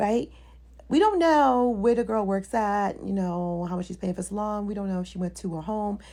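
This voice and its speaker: A woman speaks at a medium pitch with ordinary pitch variation, her tone dark and mellow and somewhat breathy. The recording is very clean, the background silent. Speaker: hairstylist. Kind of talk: commentary video. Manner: fast.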